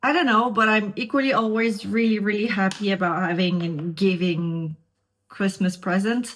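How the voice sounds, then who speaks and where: With a Montreal accent, a woman speaks at a moderate pace and medium pitch, her loudness very even, in a very clean recording with a silent background. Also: ordinary pitch variation. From Quebec, Montreal. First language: French. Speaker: beauty vlogger. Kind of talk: casual makeup tutorial chat.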